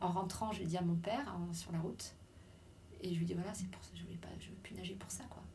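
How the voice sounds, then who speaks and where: A woman speaks at a fairly quick pace with big swings in loudness. Long, frequent pauses break her speech, and room echo is audible. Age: 50s. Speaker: former elite swimmer. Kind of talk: testimony. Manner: halting.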